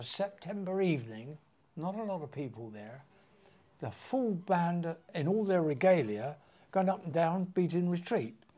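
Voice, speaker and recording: A man's high-pitched voice with a dark, mellow tone, very wide pitch swings, big swings in loudness, and a moderate pace. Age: 80s+. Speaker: potter. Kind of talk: interview answer. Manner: full of fun.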